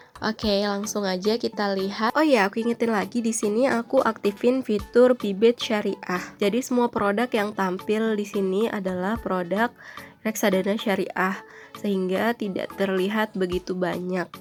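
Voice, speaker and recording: Over noticeable background noise, a woman speaks at a medium pitch and moderate pace with fairly even intonation. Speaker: YouTuber reviewing investment app. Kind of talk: casual tutorial review. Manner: casual with filler hesitations.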